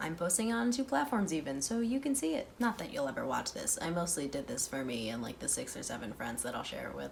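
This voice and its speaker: A woman talks at a very fast pace with hardly any pauses, her fairly low voice making very wide pitch swings. Background noise is noticeable. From Ukraine. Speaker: commentary youtuber. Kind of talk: casual commentary.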